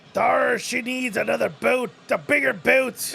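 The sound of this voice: A man's raspy, put-on character voice at an extremely high pitch and a fairly slow pace.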